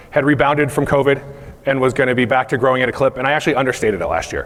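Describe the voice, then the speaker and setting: Against noticeable background noise, a man talks at a medium pitch. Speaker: company CEO giving keynote. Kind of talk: conference keynote. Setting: stage with audience. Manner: fast.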